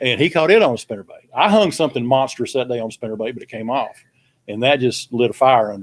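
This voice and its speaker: Talking at a very fast pace in a Southern US accent, a man uses a medium pitch, ordinary pitch variation and big swings in loudness. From Texas. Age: 60s. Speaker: veteran bass angler. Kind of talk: casual chat.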